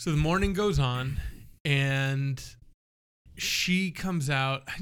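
The man speaks with ordinary pitch variation. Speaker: podcast host. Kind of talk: casual chat. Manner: self-conscious, trying to avoid verbal tics.

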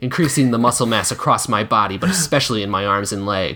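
Someone reads a passage aloud. The voice is natural.

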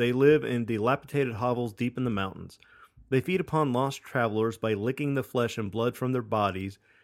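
The reading comes in an unforced reading voice, its pitch varying in an ordinary way.

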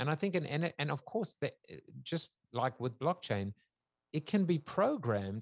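Through a dry, close sound with no echo, a man talks at a moderate pace, his pitch swinging very widely. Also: very clean recording, silent background. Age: 50s. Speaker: futurist, author and talk show host. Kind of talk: interview.

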